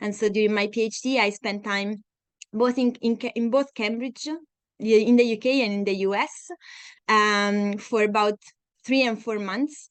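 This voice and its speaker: A woman with an Italian accent speaks at a moderate pace with a fairly high pitch. Her intonation is fairly even, and she leaves long, frequent pauses. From Italy, Tuscany (Siena). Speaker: scientist. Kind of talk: lecture. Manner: halting, many fillers.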